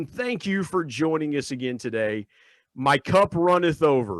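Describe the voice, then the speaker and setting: In an unremarkable speaking voice, a man with an American accent talks at a moderate pace with lively intonation, recorded dry and close with no echo, very clean against a silent background. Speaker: podcast host. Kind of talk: podcast interview.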